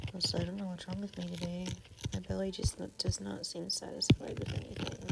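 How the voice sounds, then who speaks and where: A soft-spoken woman talks at a very fast pace, with big swings in loudness. Noticeable background noise runs under her voice. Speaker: livestreaming artist. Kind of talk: casual livestream chat while drawing.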